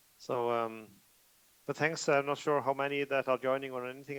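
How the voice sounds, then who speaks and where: Heard in a dry, close sound with no echo, a man with a Norwegian accent talks at a moderate pace with monotone, flat intonation. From Norway. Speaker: IT professional presenter. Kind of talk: conference presentation. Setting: remote video call to conference. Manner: hesitant, many fillers.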